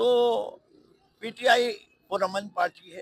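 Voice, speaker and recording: Bright and sharp in tone, the man's voice shows ordinary pitch variation. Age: 70s. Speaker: politician. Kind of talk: interview.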